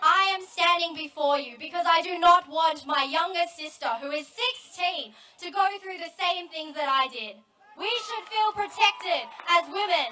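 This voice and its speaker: Over noticeable background noise, a woman with an Australian accent uses a raised, projected voice at an extremely high pitch, with ordinary pitch variation and big swings in loudness. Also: moderate pace. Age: 20s. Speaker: student activist. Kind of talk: protest speech. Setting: outdoor rally with crowd.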